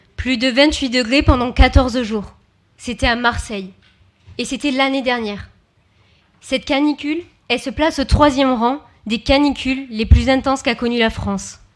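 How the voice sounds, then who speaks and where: Her high pitch stays fairly even in intonation as the woman leaves long, frequent pauses. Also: moderate pace. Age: 20s. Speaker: youth council member. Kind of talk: public speech.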